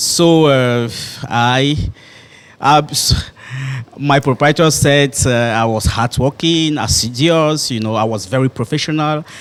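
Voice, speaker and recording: Here is a man with a French accent. His pitch sits in the medium range. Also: ordinary pitch variation, fairly slow pace. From Cameroon, grew up in Douala. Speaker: primary school head teacher. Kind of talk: interview. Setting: hotel. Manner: halting, many fillers.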